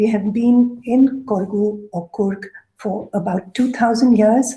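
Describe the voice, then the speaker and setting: Soft-spoken and somewhat breathy, a woman talks in a dark, mellow tone at a fairly high pitch with fairly even intonation. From Coorg, southern India. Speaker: food writer and researcher. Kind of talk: lecture.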